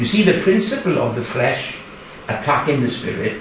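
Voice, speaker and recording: Over noticeable background noise and audible room echo, a man with a Welsh accent speaks with very wide pitch swings. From Wales. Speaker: preacher. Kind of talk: sermon.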